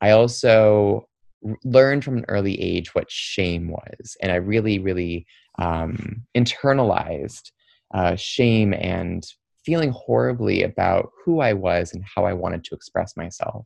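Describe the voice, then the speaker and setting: A man's plain, everyday voice, fairly low in pitch, with lively intonation and a fairly slow pace, in a dry, close sound with no echo. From US Midwest, Troy, Michigan (Detroit suburb). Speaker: nonprofit executive director and LGBTQ trainer. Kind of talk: interview.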